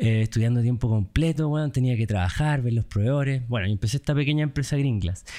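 A man with a Chilean accent speaks in a dark, mellow tone at a very fast pace with hardly any pauses. His pitch variation is ordinary, and the recording is very clean with a silent background. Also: medium pitch for a man, very even loudness. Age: 30s. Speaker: entrepreneur, company founder. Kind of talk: casual interview.

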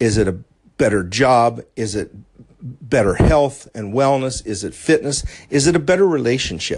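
Speaking with an American accent in an ordinary speaking voice, a man at a medium pitch uses lively intonation and a moderate pace. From US, southwestern Pennsylvania. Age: 50s. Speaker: life coach podcaster. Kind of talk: solo motivational podcast monologue.

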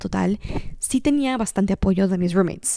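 Fairly quick speech in a dark, mellow tone, dry and close with no echo, in a very clean recording over a silent background. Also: woman. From Mexico, Cancún. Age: 20s. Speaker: podcast host and content creator. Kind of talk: casual monologue.

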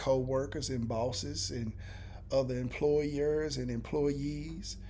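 Audible room echo carries a man's dark, mellow tone, which has ordinary pitch variation. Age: 30s. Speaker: podcast co-host. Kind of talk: casual chat. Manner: animated.

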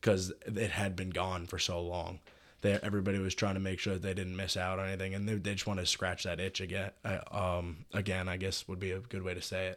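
Spoken at a fairly quick pace in an American accent, the voice stays monotone and flat, on a very clean recording with a silent background. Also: man, very deep, low pitch for a man. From New York City. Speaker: university student. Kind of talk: interview.

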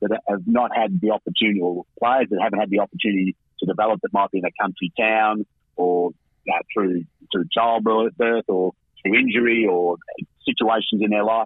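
Speaking fairly quickly with an Australian accent, a man uses a fairly low pitch, ordinary pitch variation and very even loudness. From Camperdown, western Victoria, Australia. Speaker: women's football coach. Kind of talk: phone radio interview. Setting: phone call.

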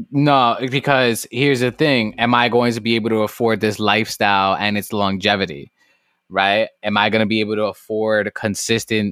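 A man with an American accent speaks in an ordinary speaking voice, fairly low in pitch, at a moderate pace with fairly even intonation. His loudness stays very even, and the very clean recording sounds dry and close with no echo over a silent background. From New York City, South Bronx. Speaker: podcast host. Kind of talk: casual chat.

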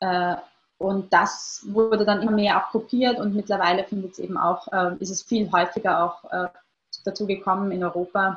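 A woman's somewhat breathy voice, medium in pitch, with fairly even intonation at a moderate pace. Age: 20s. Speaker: researcher on online extremism. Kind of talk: interview. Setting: video call. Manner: hesitant, many fillers.

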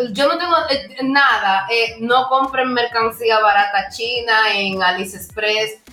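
A woman with a fairly high pitch speaks at a fairly slow pace with hardly any pauses and ordinary pitch variation. Noticeable background noise runs behind her. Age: young. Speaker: podcast co-host. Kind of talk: casual chat.

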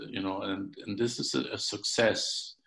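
In a very clean recording with a silent background, a man with a German accent talks at a fairly slow pace. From Germany. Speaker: podcast host. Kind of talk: interview. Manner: halting.

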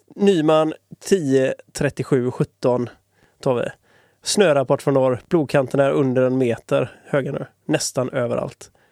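A man speaks at a very slow pace and fairly high pitch, with ordinary pitch variation. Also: dry, close sound with no echo. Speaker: disc golf podcast co-host. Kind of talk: casual chat.

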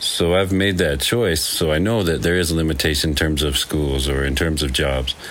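Through audible room echo and noticeable background noise, a man with a very deep, low pitch speaks with hardly any pauses, very even loudness and ordinary pitch variation. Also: moderate pace. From Wyoming. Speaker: nonprofit founder and father. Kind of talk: interview.

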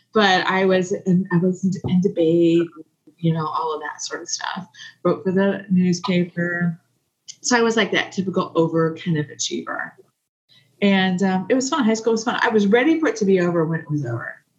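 A somewhat breathy woman with an American accent, a moderate pace and ordinary pitch variation. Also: medium pitch for a woman. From US Midwest, southeast Kansas. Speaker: podcast guest. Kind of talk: casual chat.

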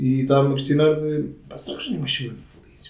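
A man's somewhat breathy, dark and mellow voice, fairly high in pitch, with a European Portuguese accent and audible room echo. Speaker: podcast co-host. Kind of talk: casual chat.

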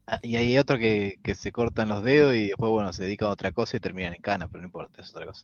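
Rushing at a very fast pace with hardly any pauses, a man with a fairly low pitch shows ordinary pitch variation and big swings in loudness. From Pergamino, interior of Buenos Aires province, Argentina. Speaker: podcast co-host, woodworker. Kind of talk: casual chat. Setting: live stream.

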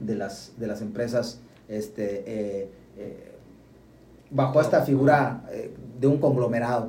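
Audible room echo surrounds a man whose dark, mellow tone is somewhat breathy, with ordinary pitch variation. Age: 30s. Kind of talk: casual chat.

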